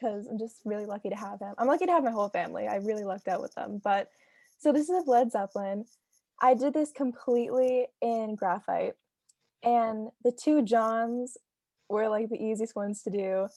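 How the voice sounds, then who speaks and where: A woman's fairly high voice, dark and mellow in tone, with ordinary pitch variation and a dry, close sound with no echo. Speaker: student artist presenting artwork. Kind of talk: artist presentation at online reading. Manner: fast.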